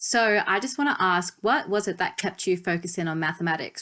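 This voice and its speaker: With an Australian accent, a woman of medium pitch speaks with ordinary pitch variation against a quiet background. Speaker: podcast host. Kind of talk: podcast interview.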